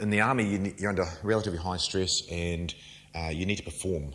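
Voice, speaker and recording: There is audible room echo around this man's voice. He talks at a fairly quick pace with ordinary pitch variation. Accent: New Zealand. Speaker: nutrition coach and firefighter. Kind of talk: lecture. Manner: fast; informal, interactive.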